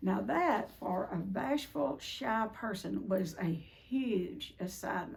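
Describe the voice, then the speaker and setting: Through noticeable background noise, a woman can be heard talking. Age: 70s. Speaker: recovery speaker. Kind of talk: talk to a group. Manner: casual.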